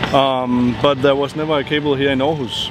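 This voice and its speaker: Monotone, flat speech from a man with a fairly high pitch, at a moderate pace amid noticeable background noise. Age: 20s. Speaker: cable park founder. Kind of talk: interview.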